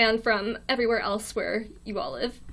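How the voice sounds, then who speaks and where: In an American accent, the voice comes through on a very clean recording with a silent background. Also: woman. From US. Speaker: college student live streamer. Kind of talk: casual live stream chat. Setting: live stream in a quiet dorm room. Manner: awkward, hesitant with many ums.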